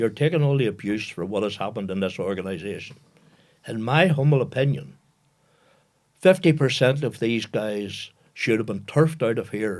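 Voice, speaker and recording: With a Northern Irish accent, a man at medium pitch talks at a moderate pace with lively intonation and long, frequent pauses. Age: 80s+. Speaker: retired football administrator. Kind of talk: interview storytelling.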